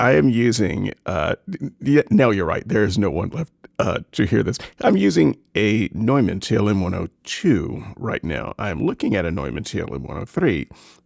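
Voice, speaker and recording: This man's pitch moves in very wide swings. Vocal fry runs through his voice. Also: moderate pace, dry, close sound with no echo. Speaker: podcast co-host. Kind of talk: casual chat. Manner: halting. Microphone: high-end condenser studio mic.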